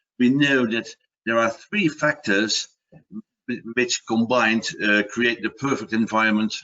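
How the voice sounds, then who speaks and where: Speaking in a Dutch accent, a man talks at a medium pitch and a moderate pace. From Netherlands. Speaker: product manager and water safety expert. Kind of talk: webinar presentation. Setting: online webinar. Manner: halting, with repetitions and fillers.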